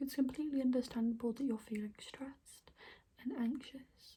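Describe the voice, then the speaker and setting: Soft-spoken and gentle in tone, a woman talks at a high pitch and a fairly quick pace. Her intonation is monotone and flat. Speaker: ASMR creator playing an alternative therapist. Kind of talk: ASMR role-play, personal attention. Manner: soft-spoken, gentle. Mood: calm, reassuring. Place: home room. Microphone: phone near.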